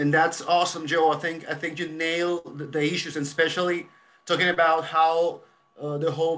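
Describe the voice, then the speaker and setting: A man talks at a moderate pace. He has a Spanish accent. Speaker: podcast host, lawyer. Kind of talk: interview.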